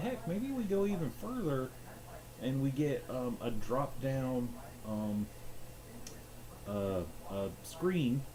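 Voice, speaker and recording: A man's medium-pitched voice moves through very wide pitch swings, with audible echo from the room. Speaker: gaming streamer. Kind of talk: casual rambling monologue. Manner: halting.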